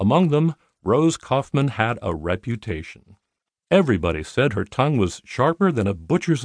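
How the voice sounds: In a quiet background, a natural reading voice comes through with lively intonation.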